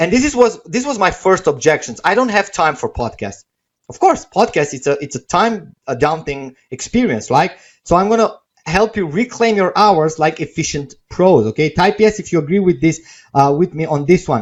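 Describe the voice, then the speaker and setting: A man with a non-native accent, high pitch, very wide pitch swings and a moderate pace. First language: not English. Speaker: webinar presenter selling software. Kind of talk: sales pitch. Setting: live stream webinar. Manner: casual, with many fillers.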